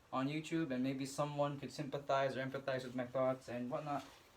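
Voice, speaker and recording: A man at a moderate pace and fairly high pitch, with noticeable background noise. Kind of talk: casual talk to camera. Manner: hesitant, stuttering.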